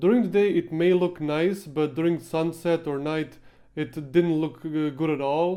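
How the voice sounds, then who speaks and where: Against a quiet background, a man with a non-native accent talks at a fairly slow pace in a dark, mellow tone with fairly even intonation. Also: fairly high pitch for a man. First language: not English. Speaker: gaming YouTuber and machinima filmmaker; video creator. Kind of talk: behind-the-scenes Q&A talk; casual vlog chat. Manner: halting with frequent fillers. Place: home room. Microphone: handheld.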